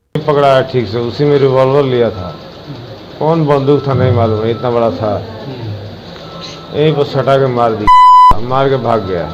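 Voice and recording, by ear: Speaking with a bright, sharp tone at a medium pitch, a man keeps a moderate pace with long, frequent pauses and ordinary pitch variation as room echo is audible.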